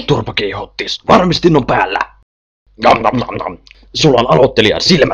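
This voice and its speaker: A man puts on a character voice at a fairly high pitch, with long, frequent pauses. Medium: machinima. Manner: snappy, insulting.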